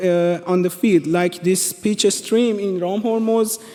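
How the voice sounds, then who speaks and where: A man with a Persian accent speaks in a high voice with ordinary pitch variation. Noticeable background noise is present. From Iran. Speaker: presenter. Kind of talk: presentation. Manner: halting, many fillers and restarts.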